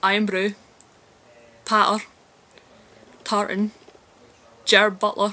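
Very slowly and in a monotone, flat intonation, a woman with a Glasgow accent speaks at a medium pitch. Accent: Glasgow Scottish. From Scotland, Glasgow. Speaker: video blogger. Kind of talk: casual vlog, reading a word list aloud. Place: home room. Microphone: webcam.

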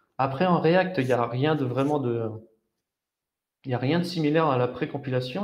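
A man's medium-pitched voice, slightly mellow in tone, at a moderate pace with ordinary pitch variation and audible room echo.

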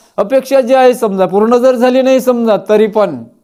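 This man speaks at an extremely high pitch. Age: 60s. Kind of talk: advice talk to camera. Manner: halting, repeated fillers.

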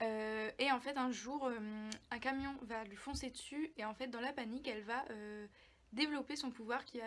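A woman speaks with fairly high pitch and fairly even intonation. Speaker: book YouTuber. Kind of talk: casual book review vlog. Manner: hesitant, many fillers. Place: home room. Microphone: phone near.

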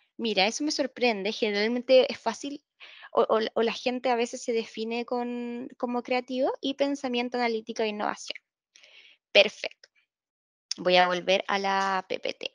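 A woman with a high pitch and ordinary pitch variation speaks at a moderate pace, with a quiet background and a dry sound with no echo. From Concepción, Chile; Chile. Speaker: employer branding analyst at a bank; webinar presenter. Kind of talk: webinar presentation. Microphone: video call.

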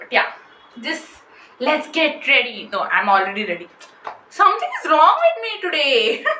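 A woman speaks in a raised, projected voice with big swings in loudness, with audible room echo and light background noise. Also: moderate pace. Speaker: vlogger. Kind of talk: casual vlog chat. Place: home room. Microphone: phone near.

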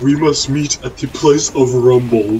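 Clear background noise is present. A man does a put-on character voice at a medium pitch and a moderate pace. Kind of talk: primitive, broken.

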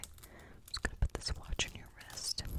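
In a whisper, a woman is talking. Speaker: ASMR roleplay host. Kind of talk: soft-spoken roleplay whisper talk. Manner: soft, close-mic ASMR murmur. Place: home room. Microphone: studio mic.

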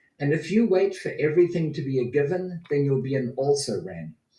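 This man's fairly high-pitched voice has a dark, mellow tone and a somewhat breathy quality, moving at a fairly quick pace with audible room echo. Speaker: motivational speaker. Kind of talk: speech. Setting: video call. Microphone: video call.

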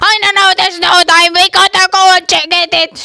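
An extremely high pitch marks the cartoonish character voice in this clip.

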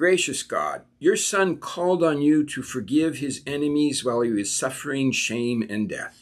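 Over a quiet background, a man speaks with a warm tone. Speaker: pastor. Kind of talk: recorded morning devotion with scripture reading and prayer; fervent liturgical prayer and benediction. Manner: earnest, reverent, measured cadence building into a warm, uplifting blessing; gentle, conversational pastoral tone. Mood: calm, reverent. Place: home room. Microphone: webcam.

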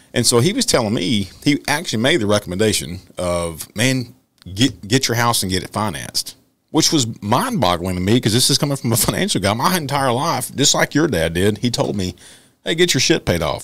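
A man with a Texan accent talks at a fairly quick pace with very wide pitch swings against a quiet background. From Texas. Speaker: podcast co-host, police officer; podcast host. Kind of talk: casual interview. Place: studio. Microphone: studio mic.

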